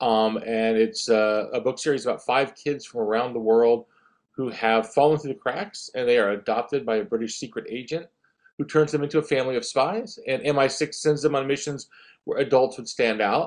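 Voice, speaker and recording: A man with an American accent and a plain, everyday voice, medium in pitch, at a moderate pace with lively intonation, against a quiet background. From US South, northeast Florida. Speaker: children's author. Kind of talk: interview.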